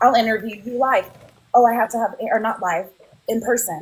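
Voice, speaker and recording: Fairly high-pitched and somewhat breathy, a woman speaks in an animated tone at a fairly quick pace. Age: 40s. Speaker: nurse and mother. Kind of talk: casual chat.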